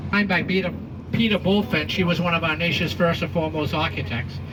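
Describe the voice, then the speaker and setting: A man with an American accent and fairly high pitch talks at a fairly quick pace, with noticeable background noise and audible room echo. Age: 70s. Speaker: tour guide. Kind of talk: guided tour commentary with jokes. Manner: animated.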